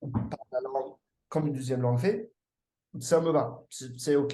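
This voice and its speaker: This man has a dark, mellow tone and speaks with an English accent. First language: English (speaking French). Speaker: language learner. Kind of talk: casual chat. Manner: halting, many hesitations.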